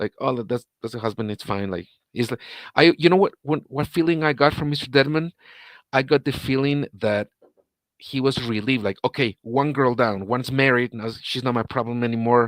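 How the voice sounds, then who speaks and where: Spoken with a Spanish accent at a moderate pace, the voice has ordinary pitch variation and a dry, close sound with no echo. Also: man, medium pitch for a man. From Guatemala. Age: 40s. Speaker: interviewee, ex-husband of a person in the news. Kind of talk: live-stream interview. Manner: halting, many repeats and false starts.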